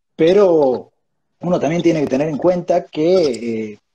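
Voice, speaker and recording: Dark and mellow in tone, a man's voice sits fairly high in pitch, with ordinary pitch variation. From Argentina. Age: 30s. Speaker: think-tank education director; interview guest. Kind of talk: interview conversation; interview answer. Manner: halting, many fillers. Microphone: wireless earphones, poor audio; earbuds.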